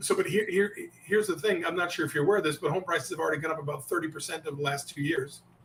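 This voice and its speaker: Against noticeable background noise, a man talks at a very fast pace and a high pitch. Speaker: sales coach. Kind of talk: interview with role-play of sales objections. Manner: animated.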